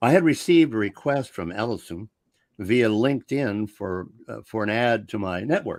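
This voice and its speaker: In a very clean recording with a silent background, a man with a fairly low pitch talks with very wide pitch swings. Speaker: radio show host. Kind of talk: radio show hosting. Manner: animated.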